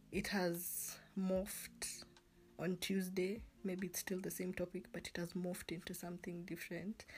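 A woman speaks at a moderate pace in a medium pitch. Her intonation is monotone and flat, and her voice is somewhat breathy. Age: 20s. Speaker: podcast host. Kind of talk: casual solo monologue.

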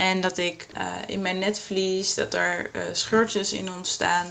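A woman speaks at a medium pitch. Hers is a normal speaking voice. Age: 20s. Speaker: yoga teacher with a visual impairment. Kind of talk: testimony.

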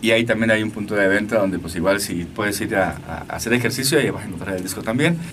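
This man talks at a very fast pace in a fairly low pitch. Noticeable background noise runs beneath him. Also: ordinary pitch variation. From Mexico, Aguascalientes. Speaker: musician. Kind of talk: interview. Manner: halting.

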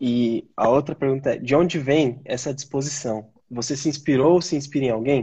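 A man speaks at a moderate pace with a fairly high pitch and fairly even intonation. His voice is somewhat breathy, with hardly any pauses. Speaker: channel host. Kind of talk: casual interview. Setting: online live stream.

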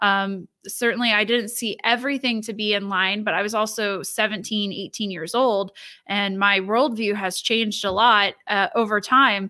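A woman with a Midwestern American accent, medium pitch and a bright, sharp tone, at a moderate pace with hardly any pauses and fairly even intonation, in a very clean recording with a silent background. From northwestern Ohio (Lima). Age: young. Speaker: political party staff member. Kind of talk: interview.

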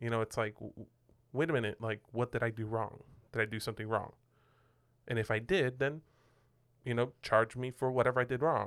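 A man with a medium pitch and fairly even intonation talks at a fairly quick pace, broken by long, frequent pauses. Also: very clean recording, silent background. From Puerto Rico. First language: Spanish. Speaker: pastor, podcast co-host. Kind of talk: casual chat. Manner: halting, filler-heavy.

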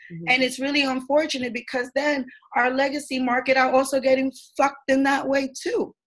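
Here a woman talks at a fairly quick pace with a high pitch. Her pitch variation is ordinary. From New York City, East Harlem. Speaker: community activist. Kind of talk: panel discussion. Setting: video call.

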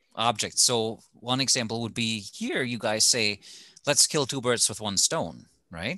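A man with a German accent, a bright, sharp tone and medium pitch, at a fairly slow pace over a quiet background. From Germany. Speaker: former TV reporter, podcast co-host. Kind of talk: casual chat.

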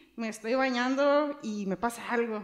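Against noticeable background noise, a woman talks at a high pitch and a fairly slow pace. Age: 30s. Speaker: insurance agent. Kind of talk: podcast interview.

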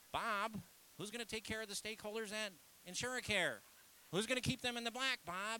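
A man puts on a whiny character voice with a whiny tone at a high pitch. He talks at a fairly quick pace with long, frequent pauses over clear background noise. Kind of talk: cartoonish.

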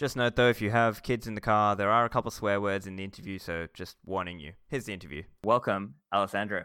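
A bright, sharp voice at a very fast pace with hardly any pauses and ordinary pitch variation, in a very clean recording with a silent background. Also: man, fairly low pitch for a man. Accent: Australian. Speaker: podcast host. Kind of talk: interview.

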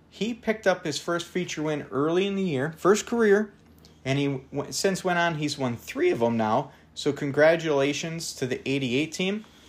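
An American-accented man at a moderate pace, fairly high in pitch with lively intonation, in a very clean recording with a silent background. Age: 40s. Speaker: dirt track racing podcast host. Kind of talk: solo podcast monologue. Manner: enthusiastic.

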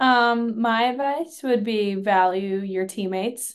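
This woman has a plain, everyday voice. Her pitch sits fairly high, with fairly even intonation. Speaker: college hockey player.

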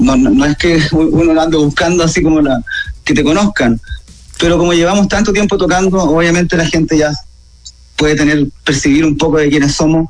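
Very even loudness and ordinary pitch variation at a fairly quick pace, over noticeable background noise. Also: man, fairly high pitch for a man. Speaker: rock musician. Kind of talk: radio interview.

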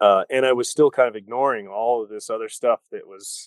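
In a dry, close sound with no echo, a man speaks at a fairly low pitch with fairly even intonation. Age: 40s. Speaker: army veteran and former punk rocker with an MBA. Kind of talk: casual interview. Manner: halting, with many repeated words.

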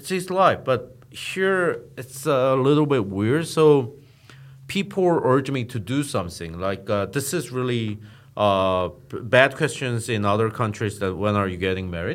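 Pitch swings very widely as the speaker, with a Korean accent, talks at a fairly slow pace. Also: man, medium pitch for a man. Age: 40s. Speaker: startup founder and media CEO. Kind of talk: interview. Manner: hesitant with fillers.

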